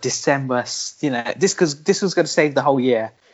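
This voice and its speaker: An unremarkable speaking voice shows ordinary pitch variation while holding a moderate pace. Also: man. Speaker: podcast host. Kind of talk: casual chat podcast.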